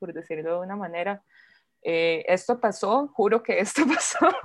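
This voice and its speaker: Woman at medium pitch and a moderate pace. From Costa Rica, Turrialba. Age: 20s. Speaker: witch and punk musician. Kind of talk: casual chat.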